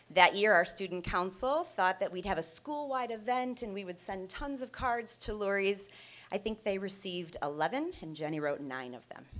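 A woman speaks at a moderate pace, her pitch swinging very widely and her loudness shifting in big swings. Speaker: presenter. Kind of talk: prepared tribute speech, read aloud. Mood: warm, proud. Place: classroom.

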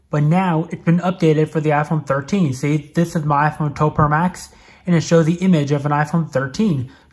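A moderate pace against a quiet background. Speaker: tech reviewer. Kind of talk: tutorial. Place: home room.

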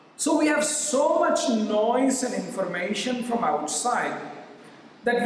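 A man's high-pitched voice at a very slow pace, with strong room echo and light background noise. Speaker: yoga teacher. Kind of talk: lecture-style answer to question. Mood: warm, smiling. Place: home room.

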